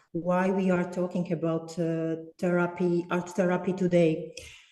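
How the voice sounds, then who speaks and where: The speech comes at a fairly slow pace in a monotone, flat intonation. Noticeable background noise runs underneath. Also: woman. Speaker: art therapist. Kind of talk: online presentation. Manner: slow, deliberate; hesitant, many fillers.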